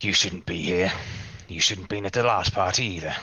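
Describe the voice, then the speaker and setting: A man uses a put-on character voice pitched very deep and low. He keeps a moderate pace. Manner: warning, menacing.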